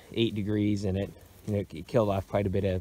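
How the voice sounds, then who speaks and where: In a fairly low, dark, mellow voice, a man speaks with monotone, flat intonation and a dry sound with no echo. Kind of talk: casual walk-through commentary. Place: open country. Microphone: phone near.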